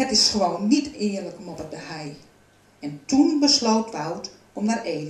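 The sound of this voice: What you hear is an unforced reading voice.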